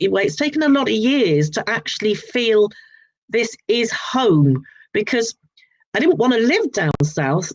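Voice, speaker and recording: A woman's fairly high, slow voice with vocal fry and very wide pitch swings. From southern England, Sussex. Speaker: author. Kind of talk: interview. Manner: hesitant, with fillers.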